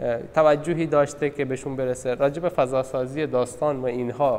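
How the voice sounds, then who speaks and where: With a Balochistan accent, a man talks at a fairly quick pace. His pitch is fairly high, and his intonation is fairly even. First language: Balochi (speaking Persian). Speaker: literature discussion presenter. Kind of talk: talk on a short story at a gallery session. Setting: art gallery meeting. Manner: hesitant, many fillers.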